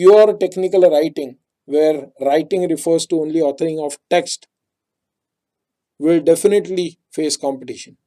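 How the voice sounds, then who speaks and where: A high-pitched man with a dark, mellow tone and ordinary pitch variation, at a fairly slow pace. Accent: Marathi. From India, Maharashtra. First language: Marathi. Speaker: technical writing trainer. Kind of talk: webinar presentation.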